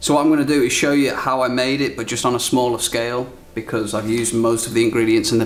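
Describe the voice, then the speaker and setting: A man with a British accent and a medium pitch talks at a very fast pace amid noticeable background noise. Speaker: cooking show host. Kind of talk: cooking demonstration. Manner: animated.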